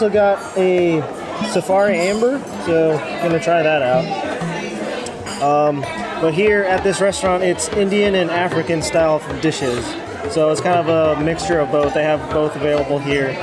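With clear music in the background, the voice moves at a moderate pace with ordinary pitch variation. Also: man. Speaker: food vlogger. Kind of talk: casual vlog chat. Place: cafe. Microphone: phone near.

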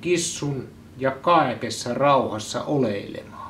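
With light background noise, a man with a Central Finland accent speaks at a very slow pace. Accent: Joutsa local Finnish dialect. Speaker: newspaper editor-in-chief. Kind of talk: ceremonial proclamation reading. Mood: solemn, mock-formal. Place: home room.

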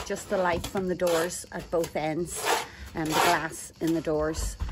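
Noticeable background noise sits behind a woman's voice. She speaks at a fairly slow pace with fairly even intonation. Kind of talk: casual vlog chat. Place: garden. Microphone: phone near.

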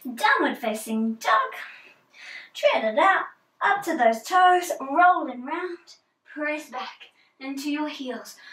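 A woman talks at a very slow pace with long, frequent pauses, in a high pitch. Her intonation is lively, with big swings in loudness and audible room echo. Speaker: yoga instructor. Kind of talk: guided yoga class with spoken cues, pose by pose. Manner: calm, encouraging, steady, relaxed and instructive; gentle, unhurried, with soft informal asides. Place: home room. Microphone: camera far.

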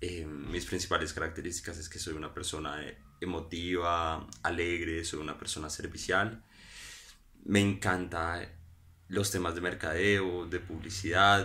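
A man speaks fairly slowly at a very deep, low pitch. His tone is bright and sharp, and his intonation is monotone and flat. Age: 20s. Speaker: business student. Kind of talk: job application video. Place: home room. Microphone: phone near.

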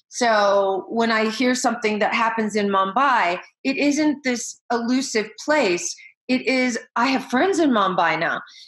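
A woman with an American accent speaks at a fairly slow pace and fairly high pitch, her intonation lively and her loudness very even against a quiet background. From US Midwest, Iowa. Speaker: education leader and keynote speaker; keynote speaker. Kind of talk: interview. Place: home room. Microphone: webcam.

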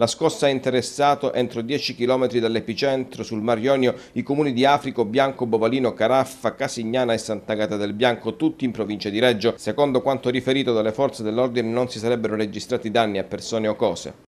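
A man speaks at a fairly quick pace with hardly any pauses. He has an unremarkable speaking voice and fairly even intonation. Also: medium pitch for a man. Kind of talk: news reading. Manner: formal, brisk and even-toned, read out in a steady, neutral broadcaster cadence; dense, fact-packed local crime bulletin delivered with little emotion.

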